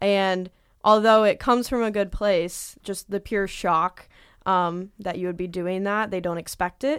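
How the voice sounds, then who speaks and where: An ordinary speaking voice from a woman, medium in pitch, with fairly even intonation and a fairly slow pace, on a very clean recording against a silent background. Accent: American. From Southwest Indiana. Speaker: engineering student. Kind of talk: panel interview.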